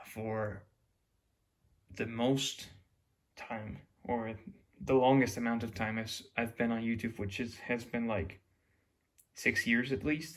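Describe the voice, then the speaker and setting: A man with a Mexican accent, medium in pitch, at a fairly slow pace with long, frequent pauses and fairly even intonation. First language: Spanish. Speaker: YouTuber. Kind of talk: casual monologue. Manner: halting, with restarts.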